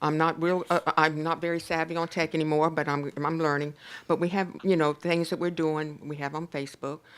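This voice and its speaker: A woman talks at a fairly quick pace in a monotone, flat intonation. Her pitch is very deep and low. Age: 70s. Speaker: community nonprofit director. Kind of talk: presentation at a city council meeting. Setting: council chamber. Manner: casual, chatty.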